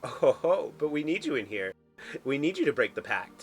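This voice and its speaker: A put-on character voice at a fairly quick pace, with faint music in the background. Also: man. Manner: crazy and gleeful.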